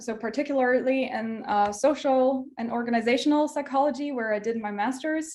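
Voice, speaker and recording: Speaking at a moderate pace, a woman with a high pitch talks in a German accent. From southern Germany, near Munich. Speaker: PhD researcher, workshop speaker. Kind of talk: online workshop lecture. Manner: hesitant, many filler words.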